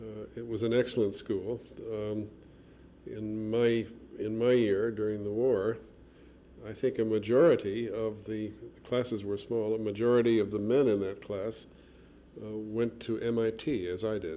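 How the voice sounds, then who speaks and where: Speaking at a moderate pace with a Midwestern accent, the voice stays monotone and flat, broken by long, frequent pauses. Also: man, fairly low pitch for a man. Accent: American Midwestern. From US Midwest, Chicago. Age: 60s. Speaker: archaeologist and museum administrator. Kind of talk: oral history interview. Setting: office. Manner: halting, many fillers.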